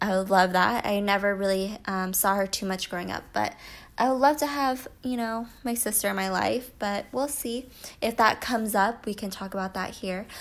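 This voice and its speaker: A woman with an American accent and a plain, everyday voice speaks at a moderate pace and medium pitch, with ordinary pitch variation, on a very clean recording with a silent background. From US. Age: 20s. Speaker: podcaster and YouTuber. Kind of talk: casual solo podcast monologue. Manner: casual, many fillers.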